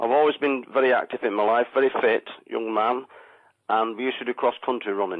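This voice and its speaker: A man talks at a fairly quick pace with a Lancashire accent. His intonation stays fairly even. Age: 60s. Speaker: caller, ex-miner. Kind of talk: radio phone-in. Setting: phone call. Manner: halting.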